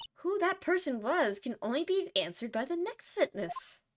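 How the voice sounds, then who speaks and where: A woman performs a put-on character voice, high in pitch with very wide pitch swings. Her pace is moderate. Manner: poised, authoritative.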